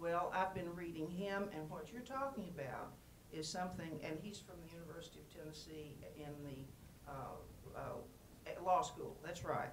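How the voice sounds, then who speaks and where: A woman's fairly low voice with ordinary pitch variation and big swings in loudness, at a fairly slow pace, with audible room echo and noticeable background noise. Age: 70s. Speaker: audience member asking a question. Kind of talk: audience question at panel. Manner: halting.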